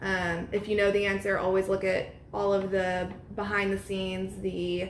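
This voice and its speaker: Through audible room echo and noticeable background noise, a woman speaks with monotone, flat intonation. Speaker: real estate agent and trainer. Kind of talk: training talk. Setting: at an open house. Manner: fast.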